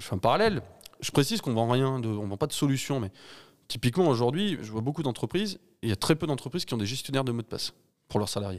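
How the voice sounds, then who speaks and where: A man at medium pitch talks at a very fast pace. His intonation is lively, and the recording is very clean with a silent background. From France, Ardèche. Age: 30s. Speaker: cybersecurity entrepreneur. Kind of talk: interview. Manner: halting, many repetitions.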